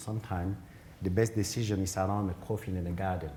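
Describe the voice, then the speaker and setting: A man's very deep, low voice, monotone and flat, at a fairly quick pace with audible room echo. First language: African mother tongue, then French. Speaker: genetics professor, keynote speaker. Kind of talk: conference Q&A answer. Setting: conference hall, also streamed online. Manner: halting, with repetitions and fillers.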